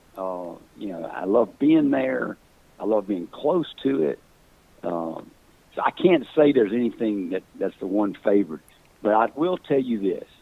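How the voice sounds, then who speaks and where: A man with a Mississippi accent, fairly low in pitch, with very wide pitch swings, a moderate pace and long, frequent pauses. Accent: Southern US (Mississippi). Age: 60s. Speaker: hunting call company founder. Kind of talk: casual chat. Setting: podcast.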